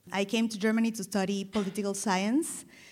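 A woman speaks with a Spanish accent at a fairly high pitch. The recording is very clean, with a silent background. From Colombia, Caribbean coast. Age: 40s. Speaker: style consultant. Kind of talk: personal testimony on a live panel. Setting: stage with audience.

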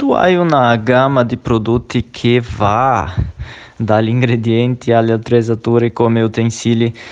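The man's pitch sits in the medium range, and his intonation stays fairly even. He keeps a moderate pace. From outside Italy. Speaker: radio show host. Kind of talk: interview. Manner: hesitant, with fillers.

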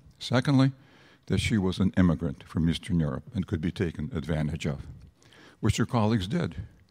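On a very clean recording with a silent background, a man with a very deep, low voice, a dark, mellow tone and vocal fry talks at a fairly quick pace with very wide pitch swings. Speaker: sponsor. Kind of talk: speech. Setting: stage with audience. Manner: halting.

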